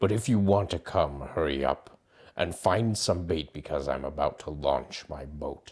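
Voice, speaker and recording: A man uses a raspy, put-on character voice pitched very deep and low. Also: moderate pace. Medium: read story. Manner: gruff, blustering.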